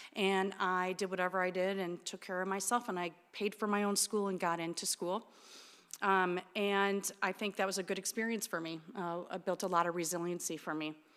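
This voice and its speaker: A woman talks in an American accent at a moderate pace and medium pitch, with monotone, flat intonation. The recording is very clean, with a silent background. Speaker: therapist and clinic director. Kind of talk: talk to an audience. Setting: church with audience. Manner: loud.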